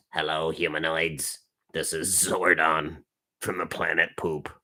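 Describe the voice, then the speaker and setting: At a fairly slow pace, a man puts on a character voice pitched very deep and low. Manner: silly, mock-serious.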